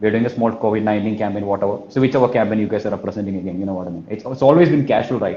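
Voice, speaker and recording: In a Kerala accent, a man speaks with a dark, mellow tone at a fairly low pitch. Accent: Malayali. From India, Kerala. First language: Malayalam. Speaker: sales trainer. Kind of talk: live talk. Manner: repetitive filler phrases; energetic.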